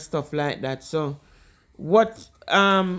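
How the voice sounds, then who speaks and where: A woman with a Jamaican accent speaks in a fairly low voice. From Jamaica, Kingston. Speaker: vlogger. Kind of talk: casual explainer talk. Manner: mixes Jamaican Patois with English.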